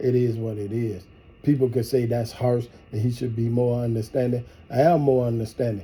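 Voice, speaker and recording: Somewhat breathy, a man talks at a fairly quick pace with fairly even intonation. His tone is dark and mellow. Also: medium pitch for a man. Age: 50s. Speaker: partner in couple prank video. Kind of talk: heated relationship argument.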